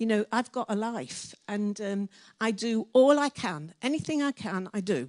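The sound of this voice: At a moderate pace, a woman speaks with a medium pitch and a slightly mellow tone, her pitch varying in an ordinary way. The sound is dry and close, with no echo.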